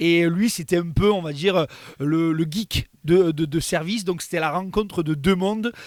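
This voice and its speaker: In a very clean recording with a silent background, a man speaks fairly slowly at a high pitch with fairly even intonation. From southern France. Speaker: content creator. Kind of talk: interview.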